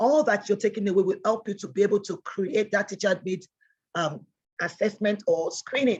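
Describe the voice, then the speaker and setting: Speaking at a fairly quick pace, a woman has a medium pitch and a somewhat breathy voice. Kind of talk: online training lecture. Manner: fast.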